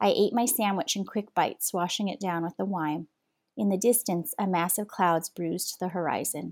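The recording is very clean, with a silent background. A woman delivers her lines in a dramatic tone at medium pitch and a moderate pace. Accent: American. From Southern California. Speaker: author and journalist. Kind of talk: literary audiobook reading, read-aloud fiction passage. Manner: measured, narrative, expressive storyteller pace with dramatic emphasis.

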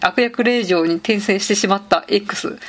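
A woman's medium-pitched voice at a moderate pace, ordinary pitch variation, and noticeable background noise. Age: 30s. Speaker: podcast host, office worker. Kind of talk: casual solo monologue. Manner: casual, frequent fillers.

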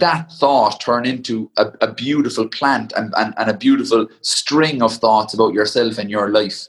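A man speaks with a Cork accent and a lively, bouncing intonation. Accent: Cork Irish. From Ireland, County Cork. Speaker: ultra endurance athlete. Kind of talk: casual interview.

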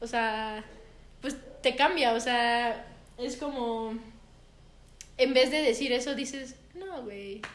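A woman with a high voice speaks very slowly, taking long and frequent pauses, her loudness swinging widely and her pitch varying in an ordinary way. Room echo is audible and background noise is noticeable. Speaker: podcast co-host. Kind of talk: casual chat.

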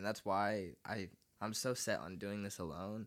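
With vocal fry, a man speaks at a moderate pace in a very deep, low pitch. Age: 20s. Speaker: musician. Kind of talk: casual chat. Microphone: too far from the mic.

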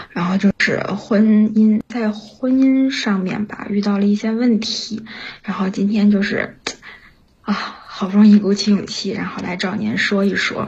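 The woman's intonation is monotone and flat, with noticeable background noise behind her. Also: medium pitch for a woman, fairly slow pace. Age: 30s. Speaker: caller, factory worker. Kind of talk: personal confession on call-in show. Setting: remote connection to live stream mic. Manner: halting with many fillers.

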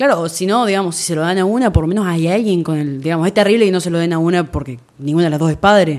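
Against noticeable background noise, a woman with a fairly low voice speaks at a very fast pace with hardly any pauses and ordinary pitch variation. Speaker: podcast guest, host's sister. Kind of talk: casual chat.

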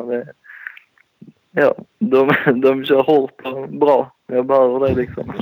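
A medium-pitched man talks at a very slow pace, keeping his intonation fairly even. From southern Sweden, Skåne (near Landskrona). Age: 20s. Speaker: motocross rider. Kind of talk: casual chat.

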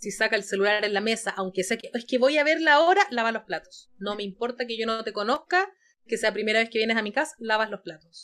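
A woman speaks at a very fast pace in a bright, sharp tone. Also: fairly high pitch for a woman, ordinary pitch variation. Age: 30s. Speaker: clinical psychologist. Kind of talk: interview.

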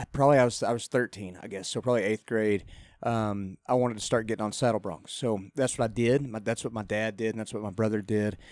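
With a West Texas accent, a man talks at a fairly quick pace in a medium pitch and fairly even intonation, on a very clean recording with a silent background. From Texas, Lubbock. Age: 30s. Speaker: country singer and former rodeo rider. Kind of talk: casual radio interview. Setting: studio.

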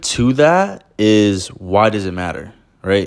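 Over a silent background in a very clean recording, a man talks very slowly at fairly low pitch with lively intonation. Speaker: podcast host. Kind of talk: solo podcast monologue, casual. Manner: calm, slows down and emphasizes when serious; casual, personable, uses slang.

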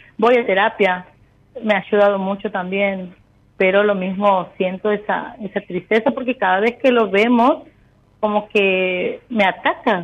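A plain, everyday voice speaks at a fairly slow pace. Its pitch varies in an ordinary way. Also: woman, medium pitch for a woman. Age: 30s. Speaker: caller. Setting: phone call.

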